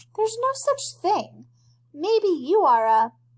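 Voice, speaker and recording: A woman uses a squeaky, put-on character voice at an extremely high pitch, swinging very widely in pitch at a fairly slow pace. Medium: read story. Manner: smug, matter-of-fact.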